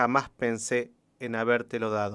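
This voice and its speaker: The background is silent, the recording very clean. A man does the talking. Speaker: radio host and poetry reader. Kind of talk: poem reading on radio. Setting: radio studio.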